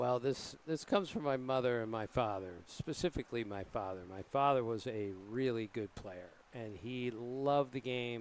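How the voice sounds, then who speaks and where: Medium in pitch, this is a man with an ordinary speaking voice. He keeps a moderate pace, and his pitch variation is ordinary. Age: 60s. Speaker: baseball writer and TV analyst. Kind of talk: booth interview during live broadcast.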